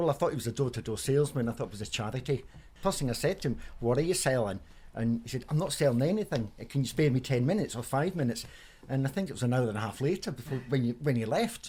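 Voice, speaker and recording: A man speaks at a medium pitch in a dark, mellow, somewhat breathy tone. The recording is very clean, with a silent background. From Scotland, Edinburgh (born in Germany). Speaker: member of the public, poem recipient. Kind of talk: radio interview. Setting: in his home.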